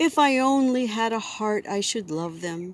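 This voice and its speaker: A woman speaks in a put-on character voice. Her pitch sits fairly high. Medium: read story.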